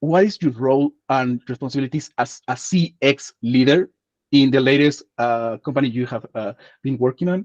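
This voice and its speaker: A man with a Spanish accent, medium in pitch, at a moderate pace with ordinary pitch variation, dry and close with no echo. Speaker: community host, interviewer. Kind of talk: panel interview.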